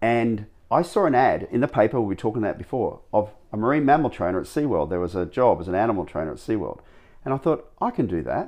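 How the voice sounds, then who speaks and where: A man with an Australian accent talks at a very fast pace, his voice showing vocal fry and very wide pitch swings. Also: medium pitch for a man. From Australia, Gold Coast, Queensland. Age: 50s. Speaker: animal trainer and former dancer. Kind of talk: interview.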